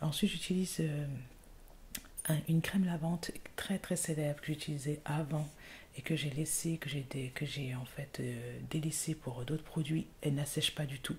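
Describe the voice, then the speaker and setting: A woman with a very deep, low pitch sounds somewhat breathy. Her intonation is fairly even, broken by long, frequent pauses. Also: moderate pace. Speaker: ASMR YouTuber. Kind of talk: ASMR skincare routine, casual talk to camera. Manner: whispered, soft-spoken.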